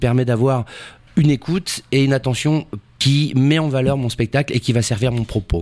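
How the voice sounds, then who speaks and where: In a normal speaking voice, the speaker goes at a fairly quick pace with ordinary pitch variation, the sound dry and close with no echo. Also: man. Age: 40s. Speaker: actor. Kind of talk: casual chat.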